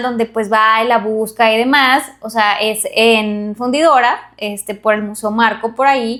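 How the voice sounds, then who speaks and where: This woman has a high-pitched voice and a Monterrey accent. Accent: Monterrey (regio) Mexican Spanish. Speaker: podcast co-host. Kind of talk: casual chat. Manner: animated.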